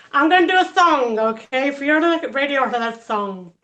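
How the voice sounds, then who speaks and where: In a Cornish accent, a woman speaks at a high pitch with lively intonation. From Cornwall, England. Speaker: stand-up comedian. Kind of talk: stand-up.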